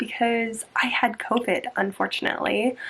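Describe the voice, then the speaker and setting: A woman is speaking over noticeable background noise. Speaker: book video creator. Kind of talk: casual chat. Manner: casual with frequent fillers.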